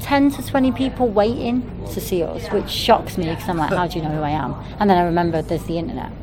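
A woman's very fast, fairly low voice in a Mancunian accent with very wide pitch swings, against noticeable background noise. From Manchester, England. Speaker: punk band rapper. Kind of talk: interview. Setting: at a music festival.

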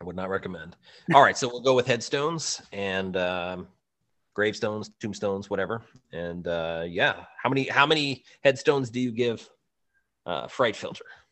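A man speaks at a moderate pace in a plain, everyday voice, his pitch fairly low. His intonation is lively, and his loudness swings widely. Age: 30s. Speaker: podcast co-host. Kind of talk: casual chat. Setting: video call.

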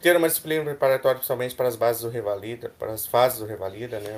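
A man speaks at a medium pitch. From Mato Grosso, Brazil. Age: 30s. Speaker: medical student, student union candidate. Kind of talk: casual chat; reading proposals aloud.

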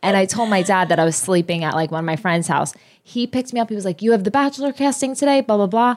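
A woman speaks very fast at a medium pitch with an animated tone and lively intonation. The recording is very clean with a silent background. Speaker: podcast co-host, former reality TV contestant. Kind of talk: casual chat.

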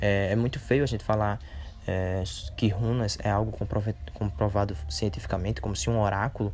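Talking at a moderate pace, a man uses a fairly low pitch. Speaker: holistic therapist and podcaster. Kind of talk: solo podcast monologue. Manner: hesitant, many fillers.

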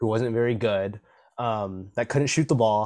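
An unremarkable speaking voice, this man talks at a fairly quick pace with medium pitch and ordinary pitch variation. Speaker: podcast host. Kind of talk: casual chat. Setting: video call.

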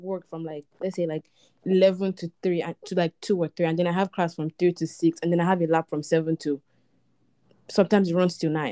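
At a fairly quick pace, a woman speaks with a dark, mellow tone, the sound dry and close with no echo. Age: 20s. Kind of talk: casual chat.

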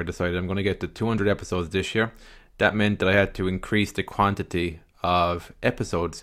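Speaking very fast with an Irish accent, a man uses a fairly low pitch and fairly even intonation on a very clean recording with a silent background. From Ireland. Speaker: podcast host. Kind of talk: solo podcast monologue.

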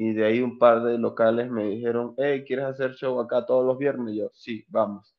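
A man of medium pitch uses a normal speaking voice, keeping a moderate pace and ordinary pitch variation. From Venezuela, Anzoátegui (eastern). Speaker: stand-up comedian. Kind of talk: casual interview.

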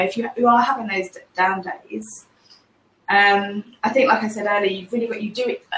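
With an English accent, a woman speaks at a fairly quick pace in a fairly high voice. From England. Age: 30s. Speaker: graphic designer. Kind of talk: casual chat.

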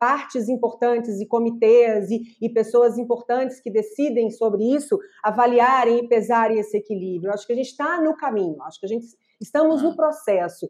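A woman with an ordinary speaking voice, fairly high in pitch, at a fairly quick pace with ordinary pitch variation. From Brazil, Minas Gerais. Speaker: podcast host. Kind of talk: casual interview.

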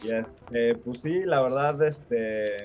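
A man speaks at a medium pitch with a Mexico City accent. Noticeable background noise can be heard. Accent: chilango (Mexico City). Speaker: crypto enthusiast. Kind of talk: casual chat. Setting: video call.

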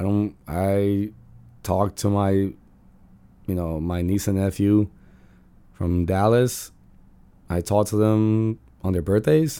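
A man speaks very slowly at a fairly low pitch in a dark, mellow tone. His intonation is fairly even, with long, frequent pauses. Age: 20s. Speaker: solo podcast host, school worker. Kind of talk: casual monologue. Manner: casual, rambling with self-corrections.

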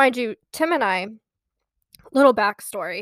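A woman speaks at a moderate pace with ordinary pitch variation in an ordinary speaking voice. The sound is dry and close, with no echo. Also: very clean recording, silent background. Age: 20s. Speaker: podcast co-host. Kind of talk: casual chat.

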